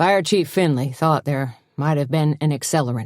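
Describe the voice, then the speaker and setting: A put-on character voice, gruff and mumbling, sits at a low-to-middle pitch. The pace is moderate. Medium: read story. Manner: hesitant, gruff, mumbling.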